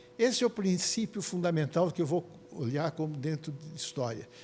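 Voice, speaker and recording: At a moderate pace, a man with a fairly high pitch and a dark, mellow tone uses lively intonation. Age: 80s+. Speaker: psychiatrist. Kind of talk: lecture. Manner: halting.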